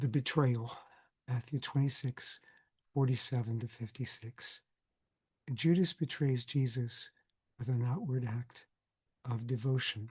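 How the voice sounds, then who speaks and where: A man of medium pitch talks at a fairly slow pace, somewhat breathy, with fairly even intonation and long, frequent pauses. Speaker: Bible scholar, lecturer. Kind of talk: recorded class lecture.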